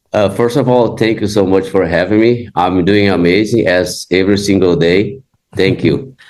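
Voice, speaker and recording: Moderate-paced speech from a man with a Brazilian Portuguese accent, fairly low in pitch, very even in loudness, with ordinary pitch variation. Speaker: jiu-jitsu facility manager. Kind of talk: interview podcast.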